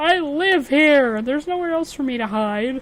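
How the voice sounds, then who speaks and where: A woman's high-pitched, put-on character voice. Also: moderate pace. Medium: actual play. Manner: whiny, plaintive.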